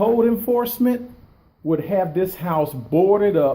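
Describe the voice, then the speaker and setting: Loud and at a moderate pace, a man talks in a high pitch with lively intonation. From Detroit, west side. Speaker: video blogger. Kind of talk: walkthrough vlog. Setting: inside vacant house.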